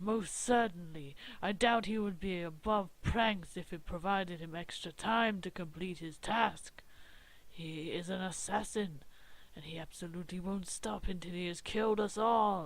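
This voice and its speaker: This put-on character voice is loud and sits at a middle pitch, moving at a moderate pace. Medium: game stream. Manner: loud, blustering.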